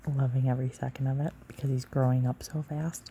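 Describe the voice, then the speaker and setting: A soft-spoken woman talks in a relaxed tone at a moderate pace, with a very deep, low pitch. Her voice is dark, mellow and somewhat breathy, and her intonation stays monotone and flat. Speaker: mother and ASMR content creator. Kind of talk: soft-spoken ASMR personal story about labor and childbirth. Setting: lying in bed next to a sleeping child. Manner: soft-spoken, relaxed, chatty.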